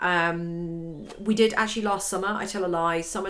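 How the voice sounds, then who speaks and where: A woman talks fairly quickly at a medium pitch. Audible echo fills the room. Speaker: violin and piano teacher. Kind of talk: tutorial. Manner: casual, conversational with fillers.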